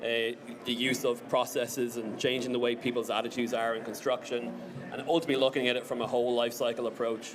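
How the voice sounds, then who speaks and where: A man with an Irish accent at a very fast pace, monotone and flat, amid audible room echo and noticeable background noise. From Ireland. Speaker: BIM engineering team lead, conference speaker. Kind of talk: conference presentation.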